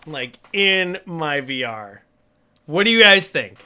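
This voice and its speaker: A man's bright, sharp voice sits fairly high and swings very widely in pitch. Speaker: game streamer. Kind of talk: live game stream commentary.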